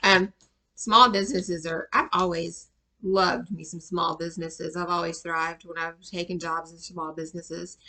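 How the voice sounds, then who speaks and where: A woman with a Georgia accent speaks at a moderate pace in a fairly low pitch, her tone bright and sharp, her intonation fairly even, and her loudness swinging widely. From US South, Atlanta, Georgia. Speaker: tarot reader and life coach. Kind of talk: tarot reading.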